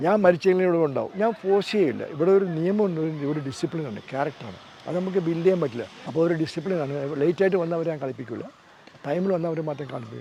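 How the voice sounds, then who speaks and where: This man's voice sits high for a man, with ordinary pitch variation over noticeable background noise. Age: 80s+. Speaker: football coach. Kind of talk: interview answer.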